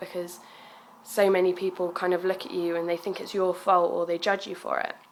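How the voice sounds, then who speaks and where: Monotone, flat intonation marks this woman's speech. Her pitch is medium and her pace moderate. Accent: southern English. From southern England, Bournemouth. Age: 20s. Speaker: student and young mother. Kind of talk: personal video message, testimony. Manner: hesitant, many fillers.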